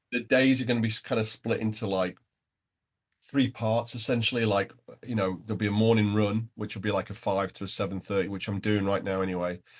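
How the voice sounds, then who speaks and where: A man with a fairly low pitch and a northwest English accent, fairly quick pace and fairly even intonation. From northern England, between Liverpool and Manchester. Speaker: entrepreneur, nonprofit founder, runner. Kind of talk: interview conversation. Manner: halting.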